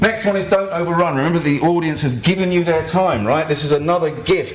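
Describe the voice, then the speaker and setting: There is audible room echo and noticeable background noise as a man with a fairly high pitch speaks at a very fast pace. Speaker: activist and blogger giving a talk. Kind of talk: conference talk. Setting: stage with audience.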